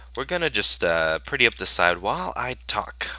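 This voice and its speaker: A man talks at a moderate pace with vocal fry. His tone is bright and sharp. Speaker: gaming YouTuber. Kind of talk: gameplay commentary. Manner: halting, many fillers.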